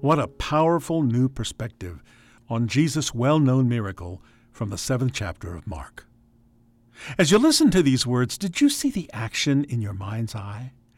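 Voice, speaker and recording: An unremarkable speaking voice from a man with an American accent, medium in pitch, with lively intonation, big swings in loudness and a moderate pace, on a very clean recording with a silent background. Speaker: radio host. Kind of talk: radio program hosting.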